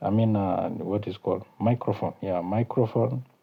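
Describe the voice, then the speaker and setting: At a moderate pace, a man speaks with a South Sudanese accent. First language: Kakwa. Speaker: YouTube channel host. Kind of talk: casual vlog talk. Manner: halting, many fillers.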